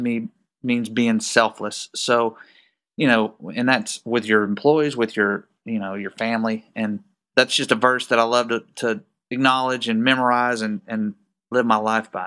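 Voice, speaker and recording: In a very clean recording with a silent background, a man with a Texan accent speaks at a moderate pace, his medium pitch carrying a bright, sharp tone and fairly even intonation. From Texas. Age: 40s. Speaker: business owner. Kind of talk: casual interview.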